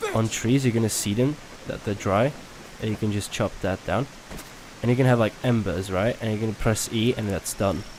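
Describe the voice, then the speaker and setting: A man with a non-native accent talks at a moderate pace in a fairly low voice. His intonation is fairly even, with noticeable background noise behind him. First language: not English. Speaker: gaming youtuber. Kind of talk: gameplay tutorial. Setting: home recording at night. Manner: casual, hesitant with fillers.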